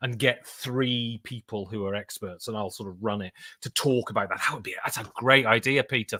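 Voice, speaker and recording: In a British accent, a man talks at a moderate pace with ordinary pitch variation, recorded very cleanly against a silent background with a dry, close sound and no echo. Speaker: board game podcaster and voice actor. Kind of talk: live stream chat. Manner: casual, rambling with fillers.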